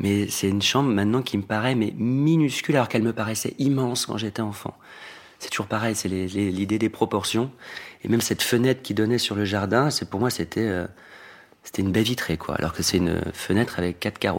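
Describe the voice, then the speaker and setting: A man talks fairly quickly, his pitch moving in an ordinary way. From Normandy, France. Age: 40s. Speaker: fashion designer. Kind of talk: interview. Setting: at home.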